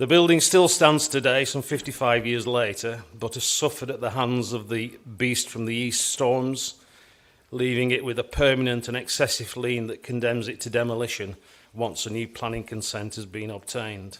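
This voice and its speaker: A man speaks at a medium pitch and moderate pace, his intonation fairly even. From northern England, Wigan, Lancashire. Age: 60s. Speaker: structural engineer, business owner. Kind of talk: conference keynote address. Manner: formal.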